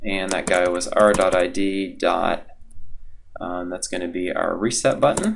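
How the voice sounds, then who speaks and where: Noticeable background noise fills the recording. Through it, a man speaks fairly slowly. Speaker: college instructor. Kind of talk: tutorial. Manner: casual, with many fillers.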